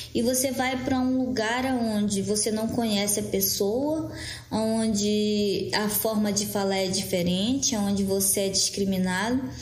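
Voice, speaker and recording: Amid noticeable background noise and audible room echo, a woman talks at a fairly slow pace, her medium pitch showing ordinary variation and her loudness very even. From Brazil, Amazonas (Maués, Lower Amazon). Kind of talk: interview. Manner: halting, many repetitions.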